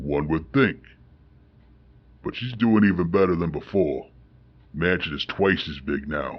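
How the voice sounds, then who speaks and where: In a put-on character voice with a very deep, low pitch, a man speaks at a moderate pace with long, frequent pauses. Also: lively intonation. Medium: audio drama. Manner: gruff, blunt.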